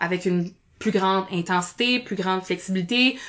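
A woman speaks at a medium pitch. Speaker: speech therapist and improviser. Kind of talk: podcast interview. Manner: animated.

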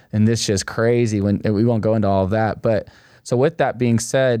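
Against a quiet background, a man with an unremarkable speaking voice talks at medium pitch with fairly even intonation. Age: 20s. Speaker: young adult ministry leader. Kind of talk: casual chat.

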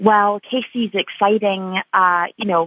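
With a Scottish accent, a woman speaks at a moderate pace and fairly even intonation in a dry, close sound with no echo against a quiet background. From Scotland, Edinburgh. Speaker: tech conference executive. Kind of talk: radio interview. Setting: radio studio.

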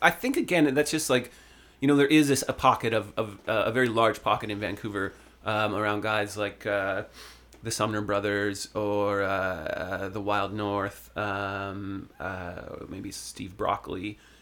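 A man with a Canadian accent speaks in a normal speaking voice at a fairly slow pace, his fairly low pitch showing ordinary pitch variation. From Ontario, Canada (Sutton). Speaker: singer-songwriter. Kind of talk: casual interview chat. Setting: studio.

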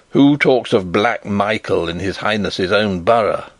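This man uses a put-on character voice that is gruff and raspy, fairly low in pitch, with ordinary pitch variation and a moderate pace. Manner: threatening.

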